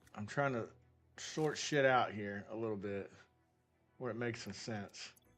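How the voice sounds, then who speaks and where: Music plays in the background as a man speaks. His medium-pitched voice moves at a fairly slow pace. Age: 40s. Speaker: gaming livestreamer. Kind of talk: casual live-stream chat while gaming. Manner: animated.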